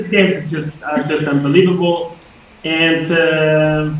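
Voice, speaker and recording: Audible room echo and noticeable background noise are present in this clip. A man talks at a moderate pace. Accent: Spanish. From Spain. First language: Spanish. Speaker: chess grandmaster. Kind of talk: casual chess lesson commentary.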